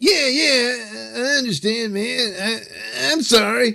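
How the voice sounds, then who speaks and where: A man puts on a character voice with an extremely high pitch. He speaks at a fairly slow pace. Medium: audio drama. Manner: stammering, hesitant.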